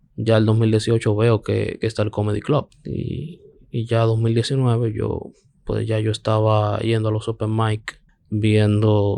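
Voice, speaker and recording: With a dark, mellow tone, a man speaks at a fairly low pitch. His pace is fairly slow and his intonation monotone and flat. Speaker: stand-up comedian. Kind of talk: casual chat.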